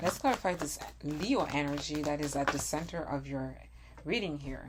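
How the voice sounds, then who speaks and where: Audible room echo on a woman's moderate-paced speech. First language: not English. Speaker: tarot reader. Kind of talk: tarot reading monologue. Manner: halting.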